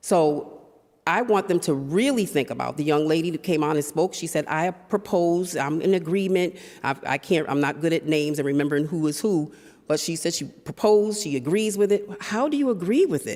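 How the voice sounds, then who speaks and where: A woman with an American accent talks in a normal speaking voice, fairly low in pitch, at a fairly quick pace with lively intonation. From Springfield, Massachusetts, US. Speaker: resident giving public comment. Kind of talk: public testimony. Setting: city council chamber.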